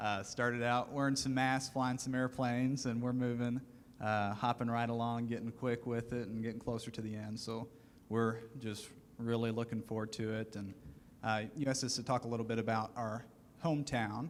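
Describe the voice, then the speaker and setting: Speaking with a Southern US accent, a man talks at medium pitch and a moderate pace in a monotone, flat intonation. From US South, rural western Kentucky. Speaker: aviation student panelist. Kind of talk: panel discussion.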